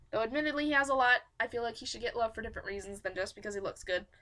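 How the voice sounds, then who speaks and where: Her tone is bright and sharp as this woman speaks at a very fast pace with a high pitch and lively intonation. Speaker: fan fiction audiobook podcaster. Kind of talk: casual chat. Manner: animated. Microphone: poor microphone.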